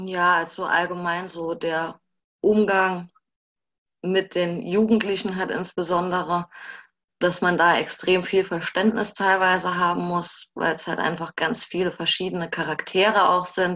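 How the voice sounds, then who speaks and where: Her tone is bright and sharp, her pitch fairly low and her intonation flat and monotone. The woman speaks at a fairly slow pace against a quiet background. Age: 20s. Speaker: social work student and former intern. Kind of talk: casual interview. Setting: video call.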